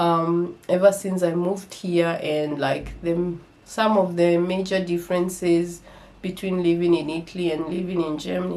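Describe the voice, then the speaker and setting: A woman speaks at a fairly low pitch and a fairly slow pace. Her intonation stays fairly even, with audible room echo. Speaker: vlogger. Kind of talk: casual vlog talk. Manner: hesitant, many fillers.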